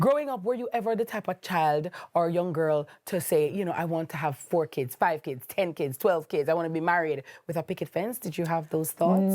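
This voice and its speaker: Captured in a very clean recording with a silent background, a woman with an unremarkable speaking voice talks at a fairly quick pace, her fairly low pitch varying in an ordinary way. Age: young. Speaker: talk show host. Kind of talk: interview.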